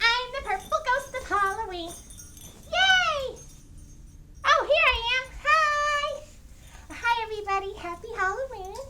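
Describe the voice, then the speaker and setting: Over music in the background, a put-on character voice at an extremely high pitch moves at a fairly slow pace with long, frequent pauses. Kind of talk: ghost story told to camera. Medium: role play. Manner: upbeat.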